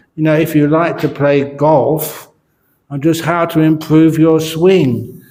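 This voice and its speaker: A man's fairly high, dark, mellow voice at a very slow pace, with audible room echo. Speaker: Buddhist monk and meditation teacher. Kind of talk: dharma talk. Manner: slow with pauses between words.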